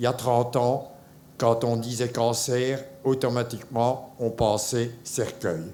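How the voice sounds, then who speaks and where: Pitched in the middle range, a man speaks at a very slow pace. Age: 70s. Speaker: cancer survivor. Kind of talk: testimony. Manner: halting.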